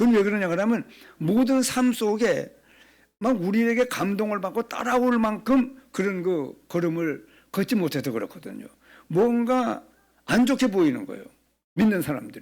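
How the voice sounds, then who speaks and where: On a very clean recording with a silent background, a man with a high pitch talks at a moderate pace using lively intonation. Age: 70s. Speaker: pastor. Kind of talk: sermon. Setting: church.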